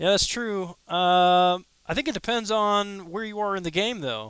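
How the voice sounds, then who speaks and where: On a very clean recording with a silent background, a man speaks at a moderate pace in a dry, close sound with no echo. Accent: Midwestern US. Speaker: gaming streamer. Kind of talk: live gameplay commentary. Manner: casual, conversational.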